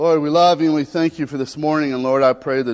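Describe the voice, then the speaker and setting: A man talks with a Southern US accent. The background is quiet. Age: 40s. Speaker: pastor. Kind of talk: Baptist sermon with earnest spoken pastoral prayer. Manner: prayerful and pleading, repeated 'Lord' interjections, mild stumbles; folksy and conversational, drawling Southern asides.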